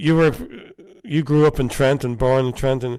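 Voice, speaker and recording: A man with an Irish accent speaks at a moderate pace with ordinary pitch variation. Everything comes through on a very clean recording with a silent background. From Ireland. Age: 60s. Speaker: talk show host and musician. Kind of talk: casual interview chat.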